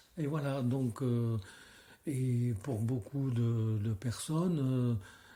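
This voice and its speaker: Somewhat breathy, with a dark, mellow tone. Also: man. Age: 80s+. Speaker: street theatre director. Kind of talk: interview. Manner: halting.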